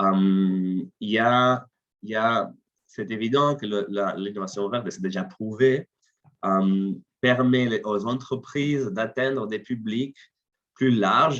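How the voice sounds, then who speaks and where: With a non-native accent, a man speaks at a very slow pace. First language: not French (speaking French). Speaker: CEO of an innovation consultancy. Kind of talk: webinar presentation. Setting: online webinar. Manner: halting, many fillers and repetitions.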